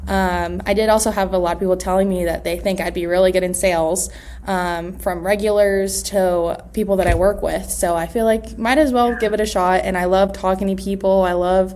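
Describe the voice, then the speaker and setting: A woman of medium pitch talks at a fairly quick pace with monotone, flat intonation. Room echo is audible. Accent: American. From US West Coast, Los Angeles. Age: 20s. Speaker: real estate agent. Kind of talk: interview. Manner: hesitant, many fillers.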